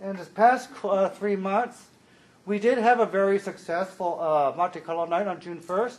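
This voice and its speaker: Pitched high, a man talks at a moderate pace with ordinary pitch variation and big swings in loudness. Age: 40s. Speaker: consumer advisory committee liaison. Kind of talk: public meeting report.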